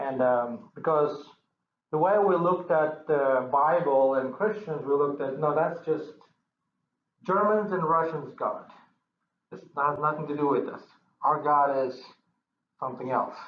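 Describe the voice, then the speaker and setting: A fairly high-pitched man at a fairly slow pace, with ordinary pitch variation, long, frequent pauses and audible room echo. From Kyrgyzstan, Central Asia. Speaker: church member giving testimony. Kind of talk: testimony. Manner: halting, many repetitions.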